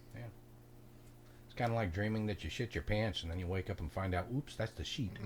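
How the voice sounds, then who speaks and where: At a fairly quick pace, a man speaks with a somewhat breathy, fairly low voice and lively intonation. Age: 60s. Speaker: podcast co-host. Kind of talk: casual chat.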